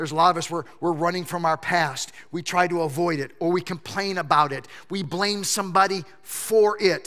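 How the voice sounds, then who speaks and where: A man's bright, sharp, high-pitched voice with an American accent, fairly even intonation and a moderate pace. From Michigan. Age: 50s. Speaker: pastor. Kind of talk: sermon. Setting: church. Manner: halting.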